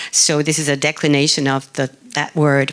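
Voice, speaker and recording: Over noticeable background noise, a woman with a very deep, low pitch talks at a moderate pace. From Argentina. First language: Spanish. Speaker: artist. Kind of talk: conference talk.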